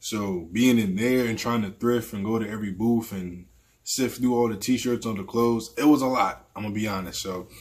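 The delivery moves at a moderate pace. Its intonation is fairly even. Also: man. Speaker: vlogger. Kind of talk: casual vlog chat. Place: home room.

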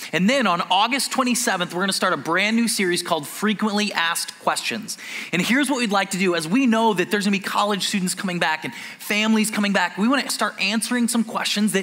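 Speaking at a very fast pace, a man uses a raised, projected voice with ordinary pitch variation. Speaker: pastor making announcements. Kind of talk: sermon announcements. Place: church.

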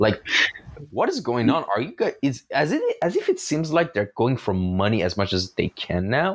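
In a very clean recording with a silent background, a man with an American accent speaks at a moderate pace with very even loudness. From Iran. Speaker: podcast host. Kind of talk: casual interview.

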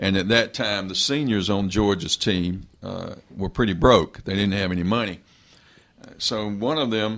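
In a normal speaking voice, a man talks at a fairly slow pace with a fairly low pitch and ordinary pitch variation. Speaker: radio guest. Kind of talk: interview answer.

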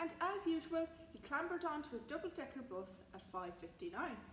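Big pitch swings run through the speech over faint background noise. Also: woman.

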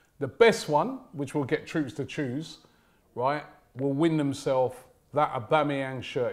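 A man speaks at a moderate pace in a fairly high pitch, with an unremarkable speaking voice. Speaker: football show presenter; presenter. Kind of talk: casual banter. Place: studio.

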